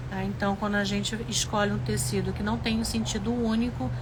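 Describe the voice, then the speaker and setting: The speech moves at a moderate pace. Room echo is audible, and there is noticeable background noise. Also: woman. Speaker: sewing teacher, craft studio owner. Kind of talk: live sewing tutorial.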